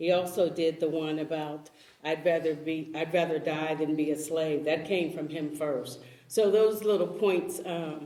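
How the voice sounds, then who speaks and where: A woman speaks with a very deep, low pitch at a moderate pace and fairly even intonation. The room echo is audible, and background noise is noticeable. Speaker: panelist. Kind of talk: panel discussion. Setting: church event with audience.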